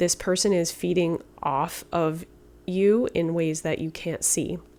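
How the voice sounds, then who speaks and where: A woman speaks fairly slowly in a fairly low voice with fairly even intonation. Music plays in the background. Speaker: tarot reader. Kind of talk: tarot reading. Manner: soft-spoken; halting.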